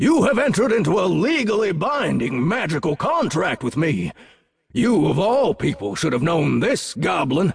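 A man puts on a character voice, high in pitch with very wide pitch swings. He keeps a moderate pace and very even loudness. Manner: imposing.

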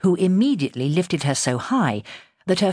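This clip is plain reading aloud.

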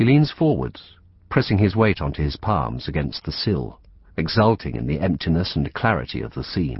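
At a moderate pace, the voice shows vocal fry and very wide pitch swings. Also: man, very deep, low pitch for a man. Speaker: audiobook narrator. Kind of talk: audiobook narration, reading a literary novel aloud. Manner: precise, formal and evocative, with a descriptive flow.

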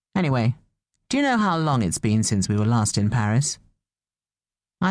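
A woman speaks fairly quickly with a British accent. The background is quiet. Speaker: audiobook narrator. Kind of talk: dramatic first-person audiobook narration. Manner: expressive, shifting tone to voice the dialogue, wry and rueful; animated, with self-correcting asides.

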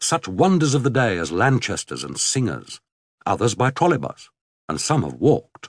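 A man with a British accent and vocal fry speaks at a moderate pace and a fairly low pitch, his pitch swinging very widely. The sound is dry and close with no echo, over a quiet background. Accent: British English, RP-style. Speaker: audiobook narrator. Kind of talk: audiobook narration. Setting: studio recording. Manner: formal, measured, literary and wry.

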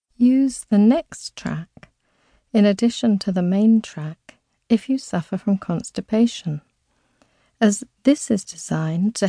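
A woman speaks at a fairly slow pace and medium pitch in a dark, mellow, soothing and gentle tone, somewhat breathy, with ordinary pitch variation and a dry, close sound with no echo against a quiet background. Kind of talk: guided meditation. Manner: slow, soothing, gentle; soft, hypnotic, measured pacing.

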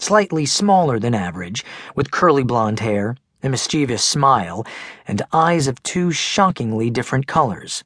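With lively intonation, the reading voice stays unforced.

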